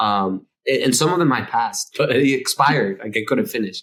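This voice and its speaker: At a moderate pace, a man speaks with a Spanish accent. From Dominican Republic. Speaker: architect. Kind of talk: interview conversation. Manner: halting, many fillers and repetitions.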